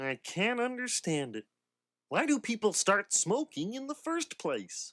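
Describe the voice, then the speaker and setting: A man performs a cartoonish character voice at a high pitch and a fairly slow pace, on a very clean recording with a silent background. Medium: puppet show.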